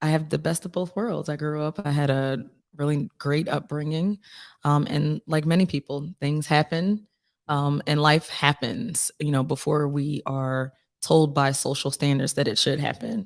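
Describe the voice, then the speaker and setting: A woman with a Philadelphia accent and a very deep, low voice, with ordinary pitch variation, in a dry, close sound with no echo on a very clean recording with a silent background. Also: moderate pace. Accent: Philadelphia American. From Philadelphia, US. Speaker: singer-songwriter. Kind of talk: casual interview.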